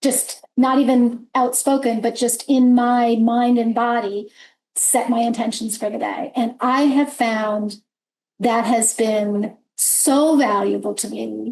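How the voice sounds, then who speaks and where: Very slowly, a woman speaks at a fairly high pitch in a monotone, flat intonation. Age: 60s. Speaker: business leader, panel moderator. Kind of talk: panel discussion.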